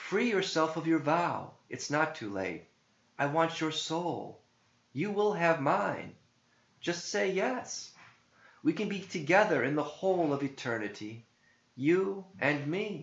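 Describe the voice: Using a put-on character voice, a man speaks slowly with vocal fry, a fairly high pitch and lively intonation, audible room echo around him.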